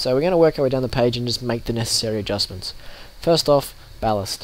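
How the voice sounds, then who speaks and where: A man with an Australian accent, medium pitch and ordinary pitch variation, over noticeable background noise. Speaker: sim racing youtuber. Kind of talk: tutorial. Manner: casual, with fillers.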